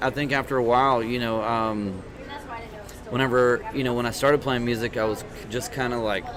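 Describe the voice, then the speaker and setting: An American accent at a moderate pace with fairly even intonation, over noticeable background noise and audible room echo. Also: man. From East Texas. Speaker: country singer-songwriter. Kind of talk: interview. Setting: podcast interview in Tyler, Texas. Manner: halting, many fillers.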